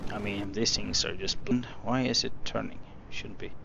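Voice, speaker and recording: Audible room echo surrounds a man with a non-native accent. His intonation stays fairly even. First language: not English. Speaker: gaming youtuber. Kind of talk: gameplay tutorial. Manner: halting, many fillers.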